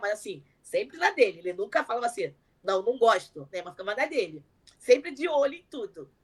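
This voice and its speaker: A woman's fairly high voice at a fairly quick pace, with very wide pitch swings. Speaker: content creator, mother. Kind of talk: interview. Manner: fast.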